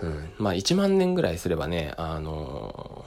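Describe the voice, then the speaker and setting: The voice carries vocal fry and moves at a moderate pace. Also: man. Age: 30s. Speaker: choreographer and dance workshop instructor. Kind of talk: solo monologue podcast. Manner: halting, many filler words.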